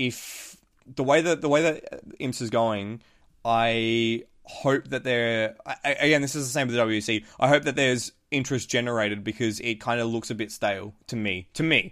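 Ordinary pitch variation marks a man with an Australian accent who speaks at a medium pitch and a moderate pace in a very clean recording with a silent background. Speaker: motorsport podcast host. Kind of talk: casual chat.

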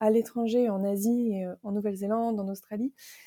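A woman with a dark, mellow tone and a fairly high pitch, at a moderate pace with fairly even intonation, on a very clean recording with a silent background. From northern France, Picardy. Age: 30s. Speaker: van-life blogger and digital nomad. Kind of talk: interview.

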